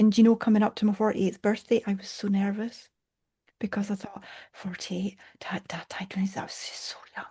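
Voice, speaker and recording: Her voice is dark and mellow, somewhat breathy, at a medium pitch for a woman, with monotone, flat intonation, a fairly quick pace and big swings in loudness. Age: 60s. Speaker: coach. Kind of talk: casual chat.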